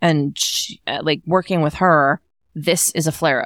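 Recorded dry and close with no echo, a woman with a fairly low pitch talks over a silent background in a very clean recording. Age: middle-aged. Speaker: podcast co-host, mom and stage performer. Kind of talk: casual chat. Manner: animated.

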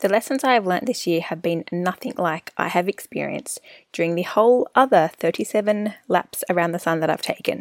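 A woman talks in a normal speaking voice at medium pitch and moderate pace, with hardly any pauses. Her intonation is lively, and the sound is dry and close with no echo. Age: 30s. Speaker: wellness podcast host. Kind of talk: solo podcast monologue, personal reflection. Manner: warm, conversational, upbeat.

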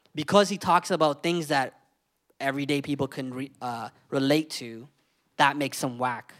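A man with a Canadian accent speaks at a moderate pace in an ordinary speaking voice, with ordinary pitch variation. The recording is very clean and the background silent. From London, Ontario, Canada. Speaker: music show host and interviewer. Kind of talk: panel discussion. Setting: live event with audience.

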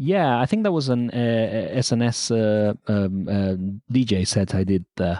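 At a fairly slow pace, a man with a dark, mellow tone and medium pitch speaks with very even loudness and ordinary pitch variation against a quiet background. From Argentina. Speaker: musician. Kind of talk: interview. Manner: halting.

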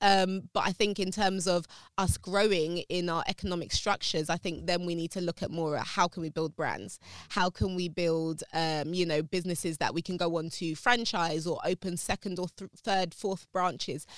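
With a London accent, the speaker goes at a moderate pace and fairly even intonation, the sound dry and close with no echo on a very clean recording with a silent background. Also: woman, fairly low pitch for a woman. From South London, England. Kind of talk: interview conversation.

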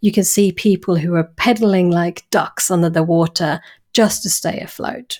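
The recording is very clean, with a silent background. A woman with an English accent speaks fairly slowly in a fairly low pitch, with ordinary pitch variation. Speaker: clinical psychologist. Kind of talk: interview.

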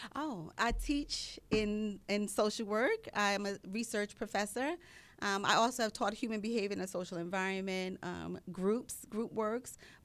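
In a very clean recording with a silent background, a woman with an unremarkable speaking voice talks at a medium pitch and a moderate pace with ordinary pitch variation. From New York City (Queens). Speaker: social work professor. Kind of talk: radio interview.

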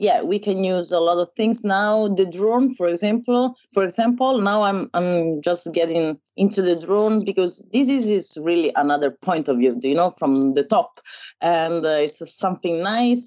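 With an Italian accent and medium pitch, a woman speaks at a fairly slow pace with hardly any pauses. Her intonation is lively and her loudness very even. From Italy, Rome. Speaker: wedding photographer. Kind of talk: interview. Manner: halting.

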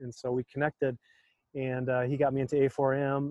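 This man, with an American accent, holds a medium pitch and speaks in a monotone, flat intonation. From US Midwest, North Dakota. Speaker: physician and entrepreneur. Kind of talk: interview conversation.

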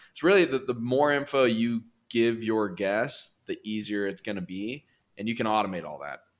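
A man speaks with a Californian accent at a moderate pace, his medium-pitched voice carrying lively intonation. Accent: Californian American English. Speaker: real estate investor. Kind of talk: interview.

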